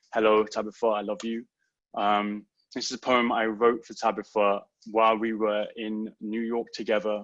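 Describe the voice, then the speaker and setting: In a London accent, a man speaks at a moderate pace with monotone, flat intonation. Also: fairly low pitch for a man, quiet background. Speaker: poet. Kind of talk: poetry reading. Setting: online livestream event.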